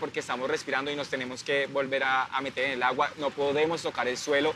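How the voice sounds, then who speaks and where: A man with a Colombian accent, fairly high pitch, a very fast pace and noticeable background noise. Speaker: artistic swimmer. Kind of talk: interview.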